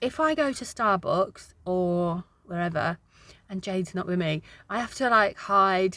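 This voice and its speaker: A woman's bright, sharp tone with an English accent on a very clean recording with a silent background. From UK. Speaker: vlogger, single mum. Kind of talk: casual vlog chat to camera. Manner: chatty, hesitant with many ums.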